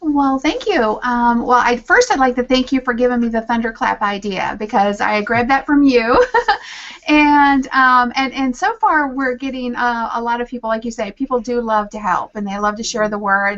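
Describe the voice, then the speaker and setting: A woman in a Southern US accent, high-pitched with ordinary pitch variation, at a moderate pace over noticeable background noise. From Virginia, US South. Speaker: social media strategist and author. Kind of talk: casual interview chat. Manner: halting, many fillers.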